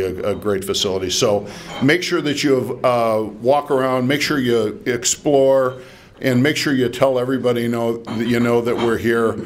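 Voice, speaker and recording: A man talks at a moderate pace with a medium pitch. Noticeable background noise and audible room echo fill the recording. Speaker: nonprofit executive. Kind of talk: dedication speech.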